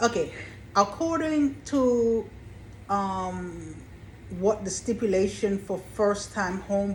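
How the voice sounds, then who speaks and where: The speech is somewhat breathy and comes at a very slow pace. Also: woman. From Caribbean. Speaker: real estate consultant and YouTuber. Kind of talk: informational vlog. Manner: deliberately slow.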